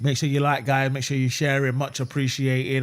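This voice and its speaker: A man speaks with a London accent. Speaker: football fan streamer. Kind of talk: live watch-along commentary. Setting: live stream. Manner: fast; animated.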